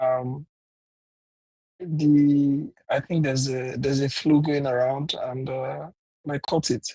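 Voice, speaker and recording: A man's fairly high, somewhat breathy voice, dark and mellow in tone, flat and monotone, very slow, with long, frequent pauses. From Nigeria, Lagos. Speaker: workshop host. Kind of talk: casual welcome chat.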